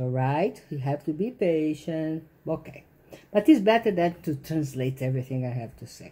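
A woman with a non-native accent speaks at a very deep, low pitch, somewhat breathy, at a moderate pace. Her intonation is lively, and her loudness swings widely. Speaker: author. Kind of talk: casual talk to camera. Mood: indignant, opinionated. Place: home room. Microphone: phone near.

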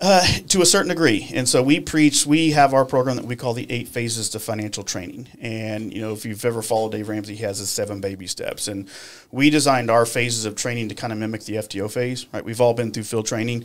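A man with a Texan accent, medium pitch, ordinary pitch variation and a very fast pace. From Texas, Irving; Texas. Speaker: financial coach, former police officer; financial coach. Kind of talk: casual interview. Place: studio. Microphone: studio mic.

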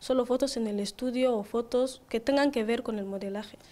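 A woman speaks at a moderate pace, her high voice carrying a dark, mellow tone. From Equatorial Guinea, Bata; Equatorial Guinea. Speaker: beauty pageant queen; guest. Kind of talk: interview. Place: studio. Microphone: handheld.

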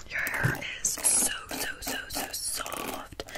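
A woman speaks over loud background noise. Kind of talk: soft roleplay chat. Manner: soft, close ASMR murmur.

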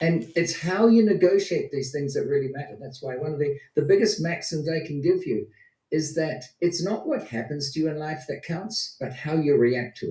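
At a moderate pace, a man with a fairly high pitch and a dark, mellow tone speaks with ordinary pitch variation, audible room echo, and a quiet background. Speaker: motivational speaker. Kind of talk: speech. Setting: video call. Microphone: video call.

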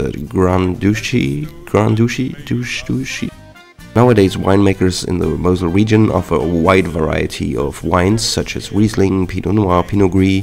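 Music in the background behind a man with a Luxembourgish accent, very deep and low in pitch, with lively intonation at a moderate pace. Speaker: home cook. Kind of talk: cooking tutorial narration. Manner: casual, humorous.

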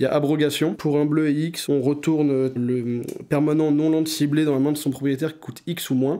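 A man with a fairly high pitch and a dark, mellow tone talks at a fairly slow pace with fairly even intonation. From France, Essonne (Paris region). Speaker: card game player. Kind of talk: casual interview.

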